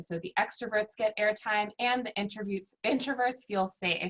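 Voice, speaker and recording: A woman with an unremarkable speaking voice and an American accent, at a moderate pace. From Virginia, US. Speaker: workshop facilitator. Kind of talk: online workshop presentation.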